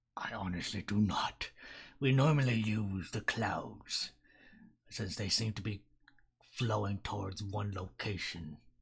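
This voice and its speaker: Putting on a character voice, a man speaks fairly slowly at fairly low pitch with ordinary pitch variation and long, frequent pauses. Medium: actual play.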